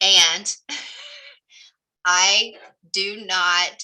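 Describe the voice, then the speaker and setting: With a Southern US accent, a woman talks in a medium pitch with a bright, sharp tone and flat, monotone intonation. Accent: Southern twang. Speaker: real estate coach. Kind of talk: group coaching session.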